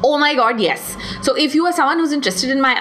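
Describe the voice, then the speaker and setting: A woman speaks in an animated tone at a fairly quick pace, with noticeable background noise. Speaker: podcast host and artist. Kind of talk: solo Q&A podcast.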